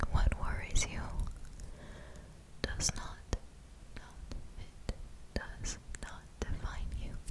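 A woman whispers very slowly, leaving long, frequent pauses. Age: young. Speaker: ASMR creator. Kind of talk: ASMR personal attention affirmations. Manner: whispered; slow, soft-spoken. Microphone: studio mic.

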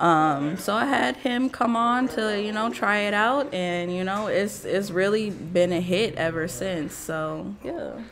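A woman with an American accent speaks at a fairly slow pace with lively intonation and hardly any pauses, over light background noise. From US Midwest. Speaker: podcast host. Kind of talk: casual chat. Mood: relaxed, joking. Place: studio. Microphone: studio mic.

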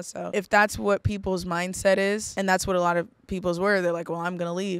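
A woman talks at a fairly quick pace. The sound is dry with no echo, and the background is quiet. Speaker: interview guest. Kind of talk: interview answer. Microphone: studio mic.

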